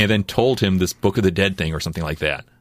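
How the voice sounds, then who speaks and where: A man with a plain, everyday voice, fairly low in pitch with ordinary pitch variation, on a very clean recording with a silent background. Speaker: comic book artist. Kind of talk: casual chat. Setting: studio.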